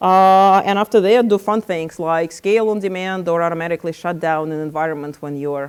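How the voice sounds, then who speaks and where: A woman talks at a fairly quick pace with hardly any pauses. Her pitch varies in an ordinary way while her loudness swings widely. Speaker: tech company founder and CTO giving a talk. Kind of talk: conference presentation. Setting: meetup with audience. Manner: fast.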